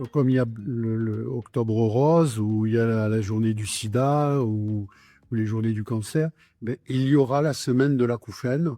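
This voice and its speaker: A man with a dark, mellow tone speaks at a medium pitch and a fairly slow pace. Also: ordinary pitch variation. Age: 70s. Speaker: patient association president. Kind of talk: interview testimony. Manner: hesitant, many fillers.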